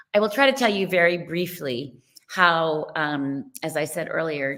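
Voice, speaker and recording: A woman with a New York accent, fairly low pitch, a bright, sharp tone, lively intonation and a fairly slow pace. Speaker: nonprofit co-founder and parent advocate. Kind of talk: online presentation.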